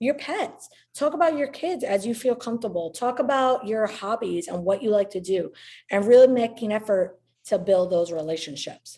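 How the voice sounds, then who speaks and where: This woman has a dark, mellow tone at a medium pitch and lively intonation, speaking at a moderate pace with a slight New York accent. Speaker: real estate agent and social media marketing trainer. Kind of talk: online training presentation. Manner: outgoing, conversational.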